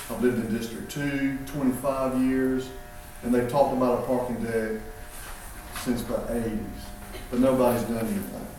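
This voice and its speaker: With a Southern US accent, a man speaks at medium pitch and a moderate pace in monotone, flat intonation, leaving long, frequent pauses. Noticeable background noise and audible room echo fill the recording. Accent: Southern US (Georgia). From Milledgeville, Georgia, US South. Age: 60s. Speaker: local political candidate. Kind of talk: community forum remarks. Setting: community forum with audience.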